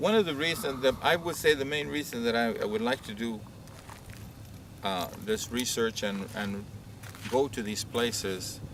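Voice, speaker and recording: A man with a medium-pitched voice talks at a moderate pace with lively intonation. Long, frequent pauses break up his speech over noticeable background noise. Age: 70s. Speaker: elder doing family history research. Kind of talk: interview. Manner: halting.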